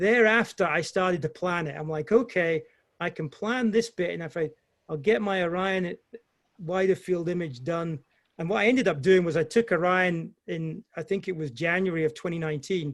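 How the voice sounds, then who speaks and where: This man speaks with a British accent, his voice pitched high for a man. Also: ordinary pitch variation, moderate pace. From Scotland. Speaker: amateur astrophotographer presenter. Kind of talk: Q&A answer in online talk. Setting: video call.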